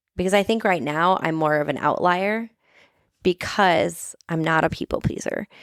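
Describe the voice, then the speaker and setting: A woman speaks at a moderate pace in a fairly low voice with ordinary pitch variation and an animated tone, recorded very cleanly against a silent background with a dry, close sound and no echo. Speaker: therapist. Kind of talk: casual chat. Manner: loud.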